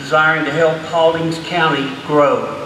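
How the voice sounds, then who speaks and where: A man with a Georgia accent speaks at a fairly slow pace with a fairly high pitch. The recording has audible room echo and noticeable background noise. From US South (Georgia). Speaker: retired refrigeration technician. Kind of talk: public hearing comment. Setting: public hearing with audience.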